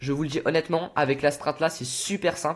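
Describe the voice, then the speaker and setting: A man talking at a fairly quick pace, animated in tone, with vocal fry. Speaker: gaming youtuber. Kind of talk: tutorial. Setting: on camera with game footage. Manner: fast.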